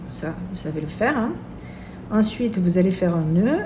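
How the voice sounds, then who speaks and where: With a southern French accent, a woman speaks at a fairly slow pace in a fairly low pitch with ordinary pitch variation. Noticeable background noise runs behind her. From southern France. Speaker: seamstress. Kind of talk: sewing tutorial.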